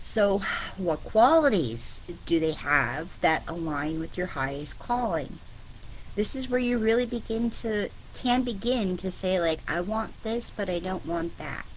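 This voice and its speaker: Over audible room echo, a woman speaks at a fairly slow pace with very wide pitch swings. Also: medium pitch for a woman. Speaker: spiritual business coach. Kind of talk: online coaching talk. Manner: casual, filler-heavy.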